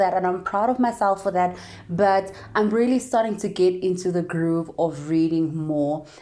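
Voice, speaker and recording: This upbeat voice moves at a moderate pace with ordinary pitch variation. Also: woman. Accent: South African. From South Africa. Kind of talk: casual talk to camera.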